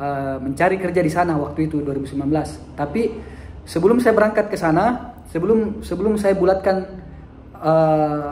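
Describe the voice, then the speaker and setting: A man with a high pitch speaks at a moderate pace with ordinary pitch variation, and audible room echo surrounds his voice. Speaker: teacher and vlogger. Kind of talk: personal storytelling vlog. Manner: halting, with fillers and self-corrections.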